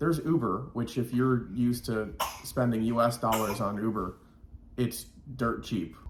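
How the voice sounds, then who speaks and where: This man talks at a moderate pace with an American accent, a medium pitch, ordinary pitch variation and an unremarkable speaking voice. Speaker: vlogger. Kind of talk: casual chat.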